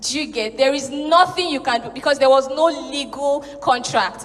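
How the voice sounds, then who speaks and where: A woman's high voice with a Nigerian accent against noticeable background noise. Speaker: spoken word artist and storyteller. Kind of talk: conference talk to a live audience.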